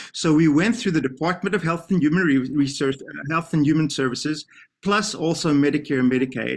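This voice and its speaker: At a fairly quick pace, a man with a South African accent speaks with a fairly high pitch and ordinary pitch variation. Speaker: professor of special education. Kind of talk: TV interview.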